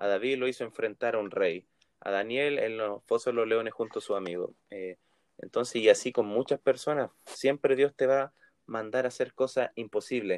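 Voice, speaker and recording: Speaking with a Chilean accent, a man uses a medium pitch and ordinary pitch variation, with a dry, close sound and no echo. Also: moderate pace. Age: 20s. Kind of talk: casual chat.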